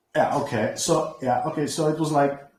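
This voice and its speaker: Audible room echo surrounds a man as he speaks. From Greece. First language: Greek. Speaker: crypto project developer. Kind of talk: online community presentation. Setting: online voice chat from home computer. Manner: halting.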